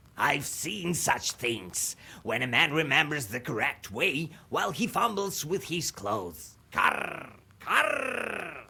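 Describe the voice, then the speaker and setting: A man uses a put-on character voice with a fairly high pitch. The pace is fairly slow. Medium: game stream. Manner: punctuates speech with crow caws.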